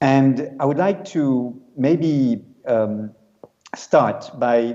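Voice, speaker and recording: A man speaks with a French accent in a dark, mellow tone at medium pitch. His intonation is lively. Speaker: UN special rapporteur, law professor. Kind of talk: conference talk. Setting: video call to conference. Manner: hesitant, many fillers.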